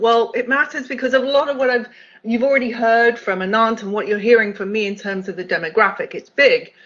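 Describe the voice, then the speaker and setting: Someone with a British accent speaks at a fairly quick pace with ordinary pitch variation. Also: woman. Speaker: accessibility executive, keynote speaker. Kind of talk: conference keynote talk.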